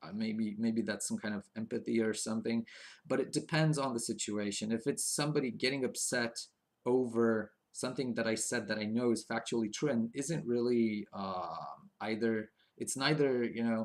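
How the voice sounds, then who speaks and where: A man speaks with a non-native accent at medium pitch and a moderate pace. His intonation is fairly even, and the recording is very clean with a silent background. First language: not English. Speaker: video blogger. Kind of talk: casual monologue. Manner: halting, many fillers.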